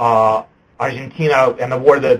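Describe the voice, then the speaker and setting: A man talks at a fairly slow pace. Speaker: lawyer. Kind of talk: webinar presentation. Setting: web conference. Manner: halting, many fillers.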